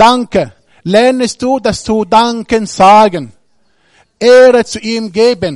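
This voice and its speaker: Against a quiet background, a man with an Arabic accent speaks at a high pitch. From Egypt. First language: Arabic (speaking German). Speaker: guest preacher. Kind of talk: sermon. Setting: church service with congregation. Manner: halting.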